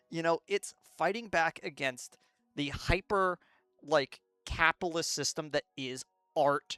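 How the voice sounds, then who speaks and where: Music plays in the background. The speaker goes at a fairly slow pace. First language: not English. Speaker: video essayist. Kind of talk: casual commentary rant. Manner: halting, many fillers.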